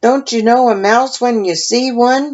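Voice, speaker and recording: Put-on character voice at a moderate pace. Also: woman. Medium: read story.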